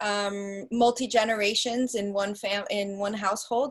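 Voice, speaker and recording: In a non-native accent, a woman of medium pitch speaks in a monotone with flat intonation. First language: not English. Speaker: relationship coach, co-founder. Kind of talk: online workshop talk. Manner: halting, many fillers and restarts.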